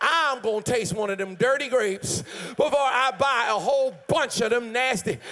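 In a raised, projected voice, a man speaks at an extremely high pitch with an animated tone and lively intonation. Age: 50s. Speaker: pastor. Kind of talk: sermon. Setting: church. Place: church. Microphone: handheld.

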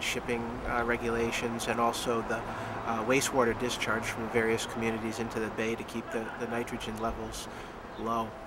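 A man keeps a moderate pace despite loud noise in the background. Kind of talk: interview answer. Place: garden.

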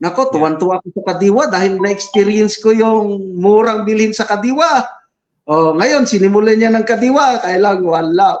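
Moderate pace, ordinary pitch variation. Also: man, high pitch for a man. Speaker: retired military general and vlogger. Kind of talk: live-streamed interview.

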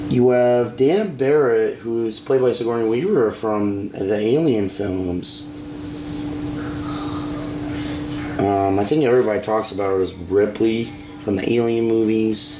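Speech comes at a fairly slow pace with long, frequent pauses. Noticeable background noise sits behind it. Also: man, ordinary pitch variation. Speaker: amateur movie reviewer. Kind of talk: casual vlog movie review. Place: home room. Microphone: phone near.

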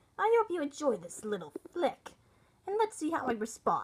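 High pitch and very wide swings in pitch, a woman putting on a character voice. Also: moderate pace. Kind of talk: reaction video commentary.

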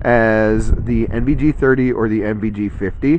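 There is noticeable background noise behind this man's voice, which sounds dry with no echo. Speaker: gear reviewer. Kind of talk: product review commentary. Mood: impressed, enthusiastic. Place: open country.

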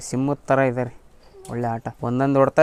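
A man speaks at medium pitch with monotone, flat intonation. Noticeable background noise sits behind him. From Karnataka, Davanagere area. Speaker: ram owner. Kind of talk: interview. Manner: casual, halting.

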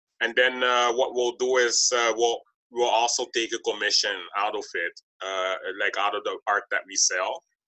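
A man at a moderate pace, against a quiet background. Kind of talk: interview conversation. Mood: explanatory, businesslike. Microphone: webcam.

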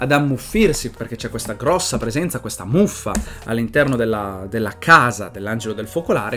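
Faint music in the background accompanies a man speaking at a moderate pace. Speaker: comic reviewer. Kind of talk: casual vlog chat. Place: home room. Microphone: webcam.

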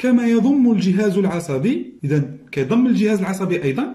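Speaking fast, a man has a dark, mellow tone.

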